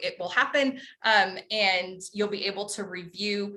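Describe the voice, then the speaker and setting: Her pitch sits at a medium level for a woman, with ordinary pitch variation. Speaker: nonprofit program officer. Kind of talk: online training session. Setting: video call. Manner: hesitant, many fillers.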